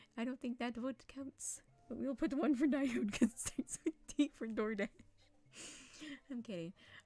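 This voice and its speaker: A woman talks at a moderate pace with ordinary pitch variation. The sound is dry and close with no echo, and music plays in the background. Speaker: streamer. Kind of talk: casual live stream chat.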